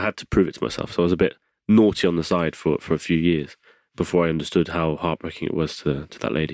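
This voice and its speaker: In a very clean recording with a silent background and a dry, close sound with no echo, a man with an English accent talks at a very fast pace in a very deep, low pitch. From England. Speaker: wheelchair rugby league player. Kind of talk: casual chat. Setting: studio.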